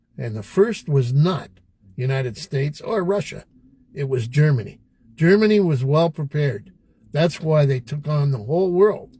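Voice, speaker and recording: In a Canadian accent, a man speaks at a moderate pace with a fairly high pitch and lively intonation. His voice is somewhat breathy, with a dark, mellow tone. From Canada. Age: old. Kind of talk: podcast conversation.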